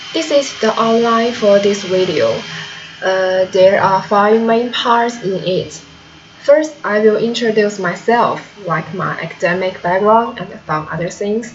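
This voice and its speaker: Speaking fairly slowly with a Chinese accent, a woman uses a medium pitch and ordinary pitch variation, with noticeable background noise and audible room echo. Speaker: translation student. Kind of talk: video self-presentation. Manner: halting.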